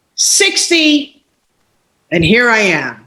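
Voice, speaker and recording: Using a raised, projected voice, a woman speaks at a very slow pace in a bright, sharp tone. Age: 60s. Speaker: life coach and entrepreneur. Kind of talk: interview. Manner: animated.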